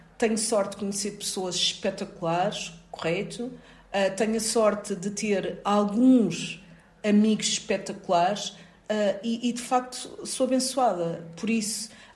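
A woman's medium-pitched voice at a fairly slow pace, with fairly even intonation and noticeable background noise. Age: 40s. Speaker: occupational safety expert and university lecturer. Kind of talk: interview.

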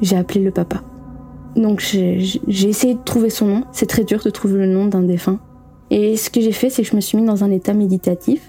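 Noticeable background noise sits behind a woman with a Belgian accent, who talks at a moderate pace and medium pitch with ordinary variation and very even loudness. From Belgium. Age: 20s. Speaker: former Jehovah's Witness sharing her story. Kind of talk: personal testimony.

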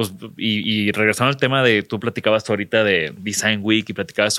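A man speaks with a bright, sharp tone and fairly even intonation. The recording is very clean, with a silent background. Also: dry, close sound with no echo. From Mexico, not Monterrey. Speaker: podcast host, designer. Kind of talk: interview conversation. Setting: sponsor showroom in Mexico City.

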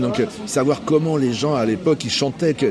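A man talks at a fairly quick pace with lively intonation. Crowd noise sits in the background, and room echo is audible. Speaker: jazz musician. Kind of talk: casual interview. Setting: brasserie. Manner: hesitant, repeats words.

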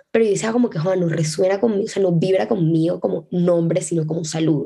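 Speaking at a very fast pace, a woman has a dark, mellow tone, a fairly low pitch and ordinary pitch variation. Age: 20s. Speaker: podcast host and law student. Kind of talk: casual solo monologue. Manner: fast, chatty.

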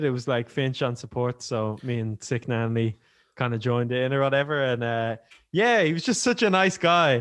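A man with an Irish accent and ordinary pitch variation. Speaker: rapper. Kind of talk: casual chat.

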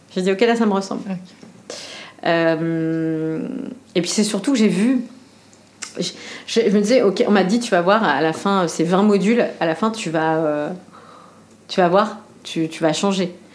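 The speech comes at a fairly slow pace with long, frequent pauses and ordinary pitch variation, with audible room echo. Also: woman, medium pitch for a woman. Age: 40s. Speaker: restaurant entrepreneur. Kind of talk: casual chat. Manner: hesitant with many fillers.

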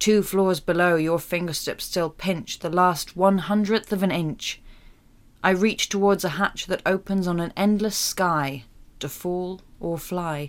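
A woman's normal speaking voice at a medium pitch, fairly slow and fairly even in intonation, on a very clean recording with a silent background. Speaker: actor reading poem. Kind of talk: poetry reading. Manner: measured, expressive poetic delivery.

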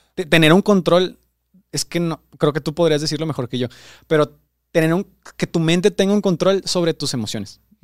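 Here a man talks at a fairly quick pace with a high pitch and ordinary pitch variation. The sound is dry and close, with no echo. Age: 20s. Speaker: producer and co-host. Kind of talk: casual chat.

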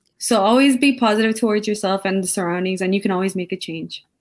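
A woman has an ordinary speaking voice. She speaks at a fairly quick pace with fairly even intonation. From Canada, Sri Lankan family. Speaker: university student panelist. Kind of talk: live panel discussion. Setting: live recorded panel.

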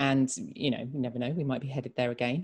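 The speaker has a southern English accent. The recording is very clean, with a silent background. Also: woman. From England, Reading. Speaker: podcast host for an arts charity. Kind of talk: casual chat.

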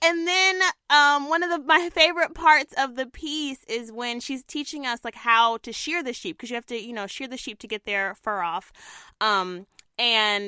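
With a raised, projected voice and a bright, sharp tone, a woman speaks at a high pitch and a moderate pace with lively intonation, the sound dry and close with no echo. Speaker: TV news reporter and podcast co-host. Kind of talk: casual chat. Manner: hesitant, many fillers.

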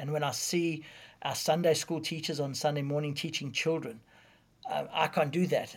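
Somewhat breathy, a man speaks at a moderate pace with a fairly high pitch and monotone, flat intonation. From South Africa. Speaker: preacher and evangelist. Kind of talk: casual interview.

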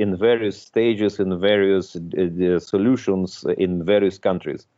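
A man speaks at a fairly slow pace in a very deep, low pitch. His intonation stays fairly even. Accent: Russian. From Russia, Moscow. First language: Russian. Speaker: tech entrepreneur. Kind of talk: interview. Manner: halting, many repetitions.

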